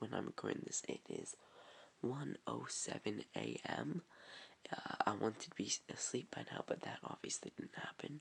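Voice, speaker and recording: A man whispers in a put-on character voice. His delivery is raspy and moderately paced. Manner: whispering.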